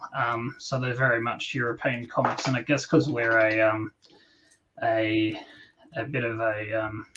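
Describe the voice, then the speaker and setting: With an Australian accent, a man speaks at a fairly slow pace in a medium pitch with fairly even intonation. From Australia, New South Wales (Newcastle, Sydney). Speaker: comic book creator. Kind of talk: podcast interview. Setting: live stream.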